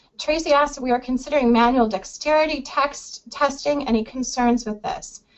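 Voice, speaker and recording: With hardly any pauses, a woman speaks at a high pitch with ordinary pitch variation. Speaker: employment lawyer. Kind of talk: webinar Q&A. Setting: online webinar. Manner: fast.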